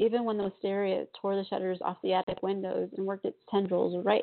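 A voice reading aloud, natural in manner.

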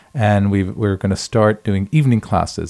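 A man with an American accent and a dark, mellow tone speaks fairly quickly in a dry, close recording with no echo. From New York. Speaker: blogger and tour guide. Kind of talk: interview. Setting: studio.

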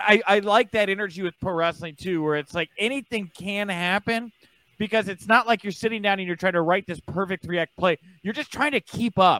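In a raised, projected voice with an American accent, a man speaks at a high pitch and a fairly quick pace, his tone bright and sharp with ordinary pitch variation, on a dry, close, very clean recording with no echo and a silent background. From Texas. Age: 30s. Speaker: wrestling journalist. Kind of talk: podcast interview.

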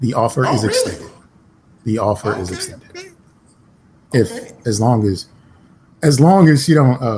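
Somewhat breathy with a dark, mellow tone, a man speaks at a fairly quick pace with lively intonation. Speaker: podcast host. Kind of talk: casual banter, comedic chat.

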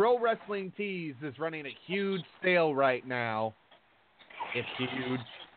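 A man talks very slowly at a fairly high pitch, his pitch swinging very widely. Noticeable background noise sits under his voice. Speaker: radio host and wrestling promoter. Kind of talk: casual chat. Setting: studio.

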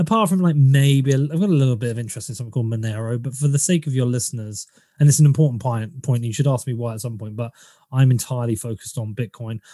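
Speaking very fast, a man with a medium pitch and a dark, mellow tone sounds somewhat breathy, with ordinary pitch variation. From England, Bedford area. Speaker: podcaster and bitcoin commentator. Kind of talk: casual interview.

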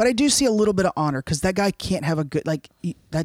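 An American-accented man with an ordinary speaking voice talks at a fairly quick pace with lively intonation. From Florida, Cuban family. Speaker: podcast co-host. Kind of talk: casual chat.

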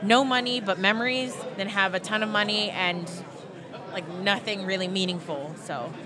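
Over crowd noise in the background, the speech moves at a moderate pace with audible room echo. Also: woman. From Hawaii. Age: 20s. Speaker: wrestling fan and YouTuber. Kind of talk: casual chat.

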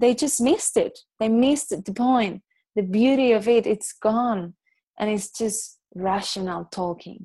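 In a Spanish accent, a woman speaks with a fairly high pitch and a dark, mellow tone over a quiet background. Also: ordinary pitch variation. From Barcelona, Spain; raised in Dominican Republic. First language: Catalan. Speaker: yoga and meditation teacher. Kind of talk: casual chat.

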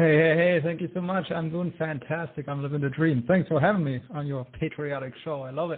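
With a German accent, a man speaks at a fairly quick pace and a fairly high pitch, hardly pausing at all. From Germany. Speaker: inventor and entrepreneur. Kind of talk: interview. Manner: enthusiastic.

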